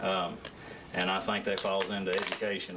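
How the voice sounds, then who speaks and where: A man with a fairly low pitch and a Southern US accent speaks at a very fast pace. The room echo is audible, and background noise is noticeable. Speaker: job candidate at council interview. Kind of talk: job interview. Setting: council meeting room with audience. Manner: soft-spoken; halting.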